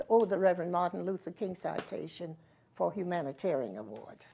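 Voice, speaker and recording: A woman speaks at a fairly low pitch in a dark, mellow tone with vocal fry. Her pitch variation is ordinary. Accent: Southern US. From South Carolina. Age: 80s+. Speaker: community activist. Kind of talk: interview answer.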